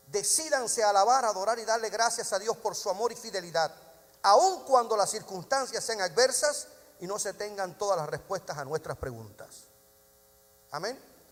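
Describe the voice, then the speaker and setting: Lively intonation marks a man's high-pitched voice. Noticeable background noise is present. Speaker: pastor. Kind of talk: sermon. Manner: fast.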